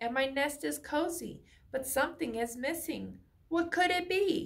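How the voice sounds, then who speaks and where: A woman speaks in a put-on character voice at a moderate pace. The pitch is high. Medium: read story. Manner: jumpy, anxious.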